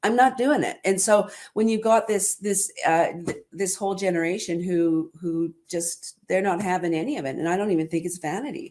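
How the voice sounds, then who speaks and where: A woman in an ordinary speaking voice at a moderate pace, with ordinary pitch variation and hardly any pauses, on a very clean recording with a silent background. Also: medium pitch for a woman. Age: 60s. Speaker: salon business coach, livestream host. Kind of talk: casual interview chat. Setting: live video stream.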